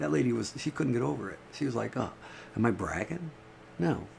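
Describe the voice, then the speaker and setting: Through noticeable background noise, a man with a fairly low pitch talks at a fairly quick pace, his pitch swinging very widely. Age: 60s. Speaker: livestreamer. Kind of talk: casual livestream monologue. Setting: live stream from home. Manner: halting, repetitive.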